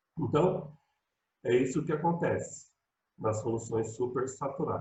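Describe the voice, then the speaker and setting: The voice is somewhat breathy. The pace is fairly slow. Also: man, fairly high pitch for a man, ordinary pitch variation. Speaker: high school chemistry teacher. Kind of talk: online lecture. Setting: video call. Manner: casual, conversational.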